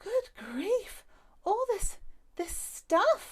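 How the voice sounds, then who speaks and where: A woman's put-on character voice, squeaky and extremely high, with lively intonation. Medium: read story. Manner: muttering, disapproving.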